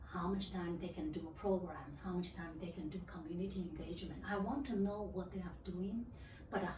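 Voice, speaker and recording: Heard with a Chinese accent, a woman speaks amid audible room echo. Noticeable background noise is also present. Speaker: library regional manager. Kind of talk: interview. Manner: halting.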